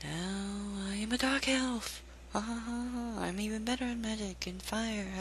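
Clear background noise sits behind this put-on character voice. Its pitch is fairly high. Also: fairly slow pace. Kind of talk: comic overacting. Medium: game stream. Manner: theatrical, mock-grand.

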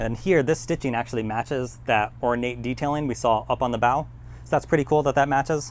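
A man's moderately paced delivery. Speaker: presenter. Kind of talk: tour narration. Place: boat. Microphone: phone near.

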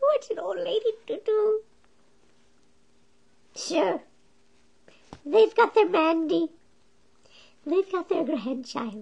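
A man uses a cartoonish character voice at an extremely high pitch, talking at a very slow pace with long, frequent pauses. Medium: puppet.

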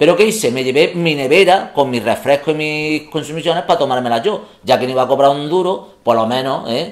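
Over a quiet background, a man in a plain, everyday voice with a fairly high pitch and ordinary pitch variation talks at a fairly quick pace with hardly any pauses. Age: 40s. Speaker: comedy youtuber; comedy video creator. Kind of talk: casual chat. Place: home room.

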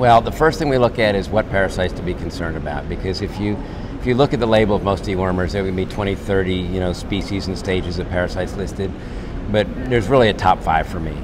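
A man's very deep, low voice at a very fast pace, with ordinary pitch variation and noticeable background noise. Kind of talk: interview answer. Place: hall. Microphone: lapel.

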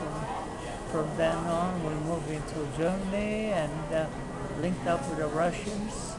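Loud background noise sits behind a man speaking at a fairly slow pace. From Hawaii. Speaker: war veteran. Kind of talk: interview answer. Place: street. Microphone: phone near.

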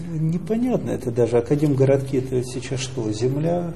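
A man at a fairly quick pace with ordinary pitch variation and light background noise. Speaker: newspaper editor. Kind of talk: press interview. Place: office.

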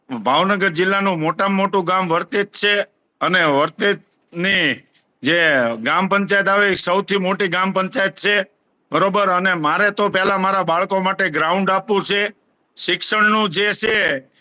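A man's raised, projected voice, high in pitch, has a bright, sharp tone, fairly even intonation and very even loudness. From Gujarat, Bhavnagar district (Vartej). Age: 40s. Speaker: village head. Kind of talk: interview.

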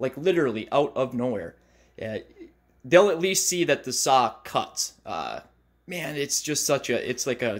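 In a quiet background, a man's speech unfolds at a fairly slow pace. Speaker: YouTuber. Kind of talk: casual vlog chat. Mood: relaxed, amused. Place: workshop.

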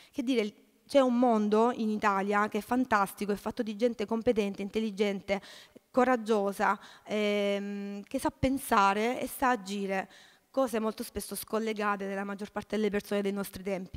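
A woman's voice at a moderate pace, with fairly even intonation and a quiet background. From southern Italy, Salento (Lecce province); southern Italy. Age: 30s. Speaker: social cooperative president, activist; speaker. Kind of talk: panel talk. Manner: halting, many repetitions. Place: hall. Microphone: podium.

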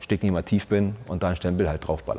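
A man talks very fast in a very deep, low voice with a dark, mellow tone. His intonation stays fairly even. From Brandenburg, eastern Germany. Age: 40s. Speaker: soldier, former paratrooper squad leader. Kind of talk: interview answer. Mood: reflective, earnest, personal. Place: studio. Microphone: lapel.

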